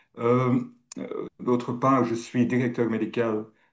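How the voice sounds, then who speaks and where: A man with a non-native accent, medium pitch and a fairly slow pace. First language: not French (speaking French). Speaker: pharmacist and medical director. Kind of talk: panel self-introduction. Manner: searching for words.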